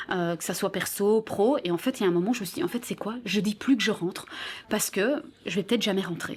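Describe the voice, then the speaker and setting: A woman at a medium pitch with lively intonation and a very fast pace. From Belgium. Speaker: radio host. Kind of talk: interview. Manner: casual, hesitant fillers.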